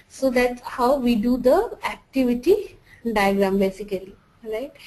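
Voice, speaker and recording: Speaking at a fairly slow pace with a non-native accent, a woman uses a fairly high pitch with ordinary variation. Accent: noticeable non-native. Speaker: software trainer. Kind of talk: tutorial. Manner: halting, many false starts.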